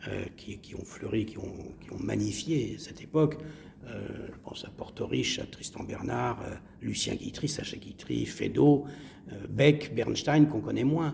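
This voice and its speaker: A man talks at a fairly slow pace, his loudness swinging widely from moment to moment. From Marseille, southern France. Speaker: actor and playwright. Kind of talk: interview. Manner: halting, repeats words.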